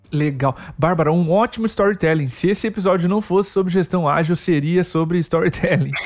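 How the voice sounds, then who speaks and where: The speaker talks at a fairly quick pace with hardly any pauses, very even loudness and ordinary pitch variation. Noticeable background noise is present. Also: man, high pitch for a man. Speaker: podcast host. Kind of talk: interview.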